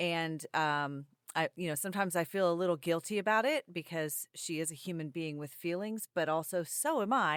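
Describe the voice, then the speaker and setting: A woman with a plain, everyday voice, fairly low in pitch, speaks at a moderate pace with ordinary pitch variation on a very clean, dry, close recording with no echo and a silent background. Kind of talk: casual podcast conversation.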